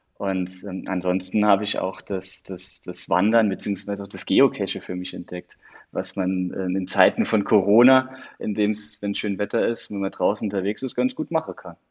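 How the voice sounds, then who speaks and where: A man speaks at a moderate pace in a fairly low voice, with ordinary pitch variation. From Saarland, Germany. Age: 30s. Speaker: county digital officer. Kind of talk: interview. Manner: hesitant, many fillers.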